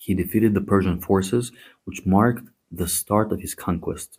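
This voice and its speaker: Speaking at a moderate pace with a Greek accent, a man uses a fairly low pitch and ordinary pitch variation. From Greece. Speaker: history podcast host. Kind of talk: podcast narration with asides. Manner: animated, conversational.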